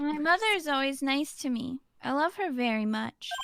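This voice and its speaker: A female-sounding voice uses a put-on character voice pitched high for a woman. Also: moderate pace. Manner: sweetly menacing, eerie.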